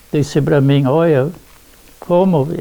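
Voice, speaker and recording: A man talks at a fairly slow pace, with noticeable noise in the background. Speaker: elderly resident. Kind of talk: oral history interview. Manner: halting, many repetitions.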